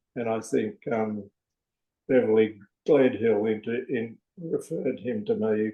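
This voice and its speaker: This voice carries an Australian accent and ordinary pitch variation. The pace is fairly slow, with long, frequent pauses. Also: man, medium pitch for a man. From Australia, New South Wales (Sydney, Newcastle). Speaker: men's peer counsellor. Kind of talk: podcast interview. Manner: halting, many fillers.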